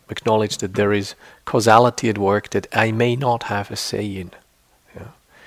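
Speaking at a moderate pace with a fairly low pitch, a man uses monotone, flat intonation while his loudness swings widely. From Switzerland. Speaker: meditation teacher. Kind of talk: dharma talk to retreat audience; guided meditation, calm instructions with long silent pauses. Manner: conversational and earnest, with frequent fillers and restarts.

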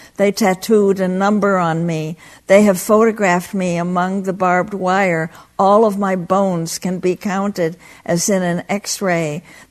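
Over a quiet background, a woman speaks at a fairly slow pace. Her medium pitch stays in a monotone, flat intonation. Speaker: Buddhist teacher and activist. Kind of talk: retreat talk; poetry reading aloud. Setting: meditation center with live audience. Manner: slow, halting, reflective; intense, somber, dramatic.

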